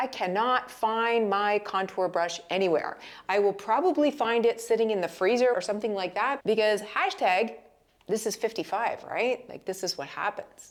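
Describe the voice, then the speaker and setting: A woman speaks at a moderate pace. Her fairly high voice has ordinary pitch variation. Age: 50s. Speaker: lifestyle vlogger. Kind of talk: casual chat. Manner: animated.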